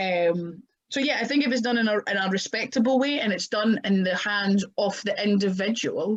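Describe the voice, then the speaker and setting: A woman in a strong Scottish accent, at a medium pitch and a moderate pace, with ordinary pitch variation. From Scotland. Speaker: professional wrestler. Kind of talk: podcast interview.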